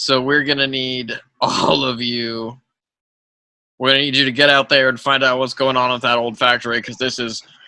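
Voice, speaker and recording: A man does a raspy put-on character voice at medium pitch. He keeps a moderate pace in a monotone, flat delivery. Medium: actual play. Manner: blustery, halting.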